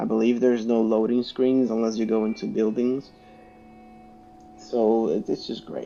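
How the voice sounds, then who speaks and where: A man's medium-pitched voice with a non-native accent, monotone, flat intonation and a moderate pace. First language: not English. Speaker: gaming YouTuber. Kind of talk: casual video game review. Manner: halting, with many fillers and restarts.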